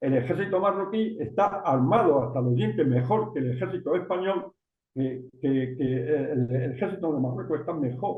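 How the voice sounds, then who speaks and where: A man talks at a moderate pace with lively intonation. His pitch is medium, and there is audible room echo. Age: 80s+. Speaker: journalist, writer and former politician. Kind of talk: interview. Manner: halting, many false starts.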